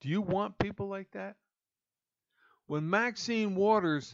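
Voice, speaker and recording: This man speaks very slowly with an American accent. His pitch varies in an ordinary way. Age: 60s. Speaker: pastor and political podcaster. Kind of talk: political commentary monologue.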